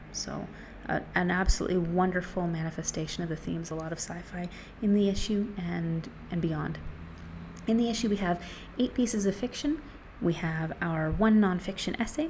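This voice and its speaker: A woman speaks at a moderate pace in a fairly low pitch with ordinary pitch variation. It is a normal speaking voice. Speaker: book reviewer. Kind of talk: casual talk to camera. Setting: outdoors.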